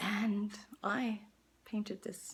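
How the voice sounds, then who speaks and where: Vocal fry runs through this woman's voice. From Netherlands. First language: Dutch. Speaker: artist. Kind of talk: direct-to-camera appeal. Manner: halting.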